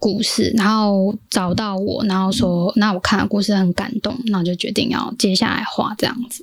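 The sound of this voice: Over noticeable background noise, a woman with a Taiwanese accent talks at a moderate pace in a medium pitch, with ordinary pitch variation. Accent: Taiwanese Mandarin.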